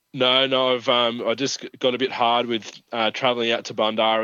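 This man has an Australian accent. He talks at a fairly quick pace and a medium pitch. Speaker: regional sports correspondent. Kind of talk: casual chat. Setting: phone call.

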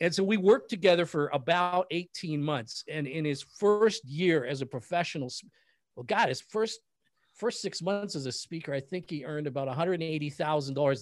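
A man with an ordinary speaking voice, fairly high in pitch, with lively intonation at a moderate pace, in a very clean recording with a silent background. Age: 50s. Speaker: business strategist and coach. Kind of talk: interview.

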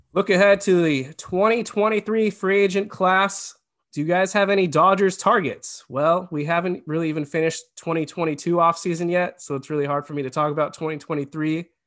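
Speaking at a fairly quick pace with hardly any pauses, a man uses a high pitch. His pitch varies in an ordinary way against a quiet background. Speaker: podcast host. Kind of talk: casual sports discussion.

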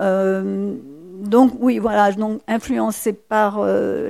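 Speaking at a very slow pace, a woman is heard on a very clean recording with a silent background. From Mauritius, rural village. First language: Mauritian Creole (speaking French). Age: 60s. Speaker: novelist and poet. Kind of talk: public talk at library event.

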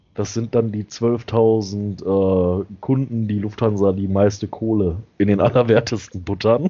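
A normal speaking voice, with fairly even intonation, a fairly slow pace and hardly any pauses. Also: man, fairly low pitch for a man. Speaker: podcast host. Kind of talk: casual chat. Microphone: new headset.

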